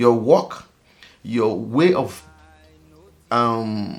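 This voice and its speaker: A man speaks with an African accent. His tone is animated. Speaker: vlogger. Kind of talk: casual monologue vlog.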